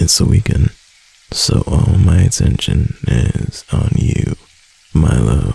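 In a put-on character voice, a man speaks slowly with an extremely low pitch, a dark, mellow tone, a husky, rough edge, vocal fry and lively intonation.

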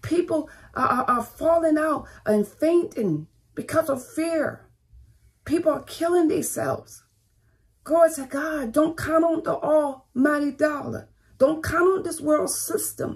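A woman speaks at a fairly slow pace in a high voice. Her pitch varies in an ordinary way over a quiet background. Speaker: pastor. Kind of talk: fiery online sermon with call-and-response exhortation. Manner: fervent, urgent preaching punctuated by 'Come on, thank you, Jesus'; repetitive, rhythmic exhortation, stacking short commands. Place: home room. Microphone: phone near.

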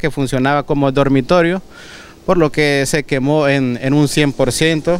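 The delivery has a moderate pace and fairly even intonation. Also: man. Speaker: firefighter spokesperson. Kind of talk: news interview. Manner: halting.

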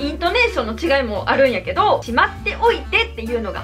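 Over clear music in the background, a woman with a Kansai accent projects a raised, high-pitched voice at a fairly quick pace, her pitch swinging very widely. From Kansai, Japan. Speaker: YouTuber. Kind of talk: casual talk to camera. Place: home room.

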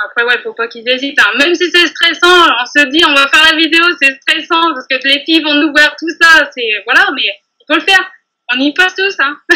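Against a quiet background, a woman uses a raised, projected voice with a bright, sharp tone, high pitch, ordinary pitch variation and a moderate pace. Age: 30s. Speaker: bakery saleswoman and nail technician trainee; bakery saleswoman. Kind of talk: testimony interview. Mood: warm, enthusiastic.

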